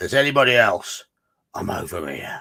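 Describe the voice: Putting on a raspy, gruff character voice, a man talks at a fairly quick pace.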